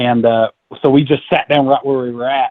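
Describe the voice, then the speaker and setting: A man speaks in a Southern accent. His pace is very fast. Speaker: novice turkey hunter telling a hunt story. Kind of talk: casual podcast chat, storytelling.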